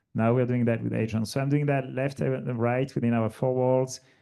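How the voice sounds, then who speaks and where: A dark, mellow voice with a French accent talks at a fairly quick pace over a quiet background. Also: man. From France. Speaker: logistics executive, panelist. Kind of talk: panel discussion. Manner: animated, casual with many fillers.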